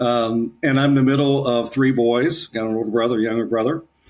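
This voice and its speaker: An unremarkable speaking voice from a man with an American accent, medium pitch and moderate pace. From Ohio, Kettering near Dayton. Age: 60s. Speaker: author and leadership coach. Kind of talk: casual interview.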